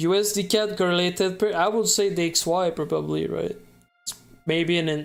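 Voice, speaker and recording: A French Canadian accent over music in the background. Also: moderate pace. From Quebec. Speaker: day trader streamer. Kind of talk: live trading stream. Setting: live stream.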